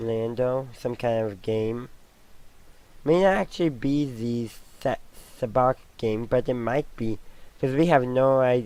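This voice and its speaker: A man speaks at a medium pitch in a dark, mellow tone, with ordinary pitch variation. His pace is fairly slow, with long, frequent pauses. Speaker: Star Wars commentator. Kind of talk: trailer reaction, casual talk to camera. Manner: rambling, thinking aloud.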